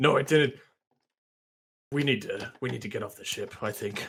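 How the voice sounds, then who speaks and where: A man's raspy, fairly high put-on character voice at a moderate pace. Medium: actual play. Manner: nervous, stammering.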